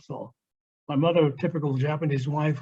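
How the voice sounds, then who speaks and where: A man speaks at a fairly high pitch and a fairly quick pace. His voice is somewhat breathy. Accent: American. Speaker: Japanese American WWII witness. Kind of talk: lecture.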